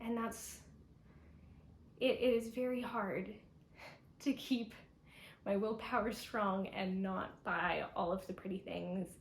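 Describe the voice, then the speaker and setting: At a fairly slow pace, a woman speaks in a somewhat breathy, fairly high voice, with long, frequent pauses. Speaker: knitter and pattern designer vlogger. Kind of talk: casual vlog talk to camera.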